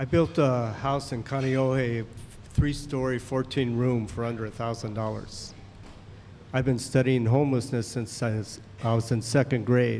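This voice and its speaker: Here a man with an unremarkable speaking voice talks at a moderate pace and medium pitch with fairly even intonation. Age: 60s. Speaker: audience member asking a question. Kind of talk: public comment. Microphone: too far from the mic.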